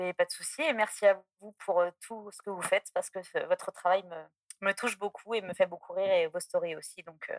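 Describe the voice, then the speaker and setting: Using a plain, everyday voice, a woman speaks fairly quickly at a medium pitch with ordinary pitch variation. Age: 20s. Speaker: podcast listener calling in. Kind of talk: anecdote telling on call-in show.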